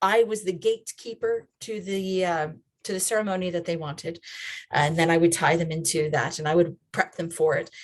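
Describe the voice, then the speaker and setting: A woman with an American accent speaks at a moderate pace in a medium pitch. She has an ordinary speaking voice with fairly even intonation. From USA. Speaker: children's and family ministry trainer. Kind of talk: online training talk. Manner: conversational.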